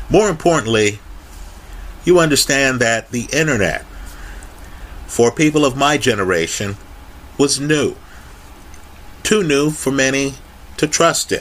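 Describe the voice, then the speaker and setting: A man speaks at a fairly slow pace with long, frequent pauses. His intonation is lively, and there is noticeable background noise. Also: fairly high pitch for a man. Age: 50s. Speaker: YouTube finance commentator. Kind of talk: solo video monologue.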